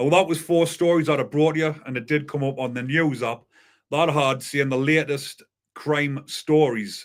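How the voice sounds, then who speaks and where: A man's fairly high-pitched voice in a North East England accent, fairly even in intonation, on a very clean recording with a silent background. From northern England, County Durham. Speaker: YouTube crime news host. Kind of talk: live stream commentary. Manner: slow, deliberate.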